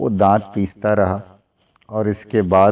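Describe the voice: Plain reading aloud is heard with a quiet background.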